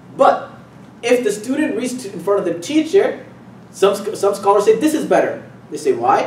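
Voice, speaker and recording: Over noticeable background noise and audible room echo, a man's extremely high voice swings very widely in pitch. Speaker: Islamic teacher. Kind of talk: lecture. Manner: fast.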